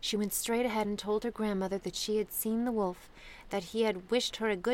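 A natural reading voice with fairly even intonation.

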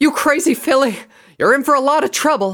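Using a put-on character voice, a man speaks at an extremely high pitch with a bright, sharp tone, lively intonation and a fairly quick pace. The recording is very clean, with a silent background.

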